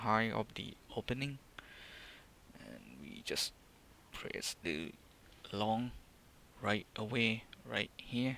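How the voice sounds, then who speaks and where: With a non-native accent and a fairly low, bright, sharp voice, a man speaks very slowly with long, frequent pauses, ordinary pitch variation and big swings in loudness. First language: non-native English speaker. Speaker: day trader. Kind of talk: trading screen walkthrough. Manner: hesitant, many filler words.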